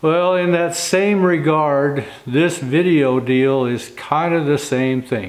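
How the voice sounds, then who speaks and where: A man's voice, pitched fairly high for a man, comes through over noticeable background noise. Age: 60s. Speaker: wagon and carriage builder. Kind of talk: casual vlog talk to camera.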